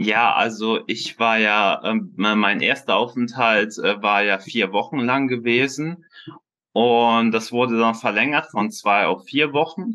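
The tone is bright and sharp, with ordinary pitch variation. Delivery is very slow, and the loudness stays very even. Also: man, medium pitch for a man. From Bonn, western Germany. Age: 20s. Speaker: scoliosis patient. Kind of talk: interview. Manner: halting, many filler sounds.

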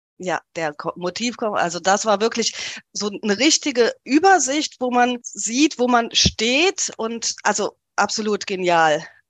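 Fairly slow, fairly high-pitched female speech with very wide pitch swings, dry and close with no echo, over a quiet background. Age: 40s. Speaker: coaching client sharing weight-loss story. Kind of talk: interview, personal testimony.

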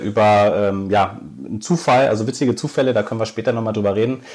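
This man talks at a very fast pace, his pitch medium and his intonation fairly even. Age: 30s. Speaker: YouTuber and tiny house dweller. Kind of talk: casual interview. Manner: hesitant, many filler sounds.

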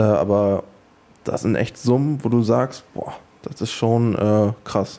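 A man talks at a very slow pace in a dark, mellow tone. His pitch is medium, with ordinary variation. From Mecklenburg, Schwerin. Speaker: professional footballer. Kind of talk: interview. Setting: stadium. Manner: hesitant, many fillers.

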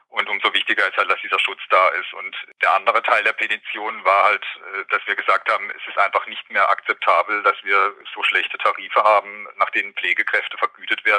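With a dry, close sound and no echo, a man talks at a fairly quick pace over noticeable background noise. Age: 40s. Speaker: nurse and care home manager. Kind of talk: interview.

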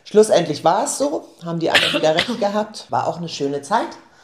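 A woman speaks with a fairly low pitch. Noticeable background noise is present. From northeastern Germany, Rostock. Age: 50s. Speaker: shop owner. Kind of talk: casual interview. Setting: indoor office.

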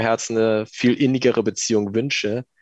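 A man's normal speaking voice, medium in pitch, at a moderate pace with fairly even intonation and a dry, close sound free of echo. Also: quiet background. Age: 20s. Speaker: civil servant, lay community member. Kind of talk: interview testimony.

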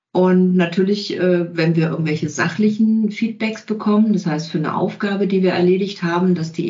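A woman with a fairly low pitch talks at a fairly quick pace, her voice somewhat breathy against audible room echo. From Bavaria (Allgäu). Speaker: communication coach and trainer. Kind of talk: interview conversation.

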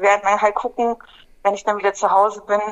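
Her pitch sits at a medium level. This woman's intonation is monotone and flat. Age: 40s. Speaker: climate activist, former prisoner. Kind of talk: interview.

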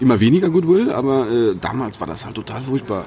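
A man's medium-pitched voice with lively intonation over noticeable background noise. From Sauerland, Germany. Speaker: IT consultant and podcaster. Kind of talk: casual chat. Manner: halting, many repetitions and fillers.

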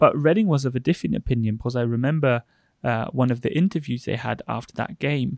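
At a fairly quick pace, a man talks in a plain, everyday voice at a medium pitch. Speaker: podcast co-host interviewer. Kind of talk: casual interview conversation.

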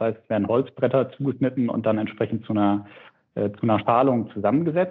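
Here is a man with a plain, everyday voice. His pitch sits in the middle range with ordinary pitch variation. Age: 30s. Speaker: startup CEO. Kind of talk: interview. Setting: remote call. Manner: frequent filler sounds.

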